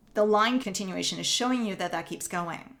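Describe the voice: Speaking at a fairly quick pace with a Northern Ontario accent, a woman has a medium pitch, ordinary pitch variation, a fairly bright tone and vocal fry. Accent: Canadian, Northern Ontario.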